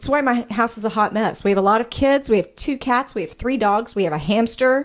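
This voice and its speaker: This woman talks at a very fast pace with a slight Arkansas accent. Her pitch varies an ordinary amount. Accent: slight Arkansas country twang. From US South, small-town Arkansas. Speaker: nurse practitioner, podcast co-host. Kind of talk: casual chat. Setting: studio. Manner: talkative.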